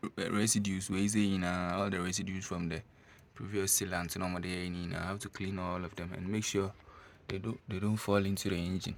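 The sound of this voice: Speaking at a fairly quick pace, a man has a low pitch and a fairly bright tone.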